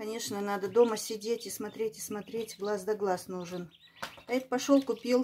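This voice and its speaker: Over light background noise, a woman with a fairly high pitch speaks at a moderate pace and with fairly even intonation. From Kyrgyzstan. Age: 60s. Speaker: village pensioner vlogger. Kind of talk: casual vlog talk while feeding ducklings. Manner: warm, cooing to animals. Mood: warm, affectionate. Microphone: phone near.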